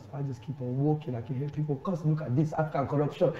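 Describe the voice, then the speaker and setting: A very fast-talking man with fairly high pitch, over noticeable background noise. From Sierra Leone. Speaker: storyteller and hip hop artist. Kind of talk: chat show interview answer, telling an anecdote.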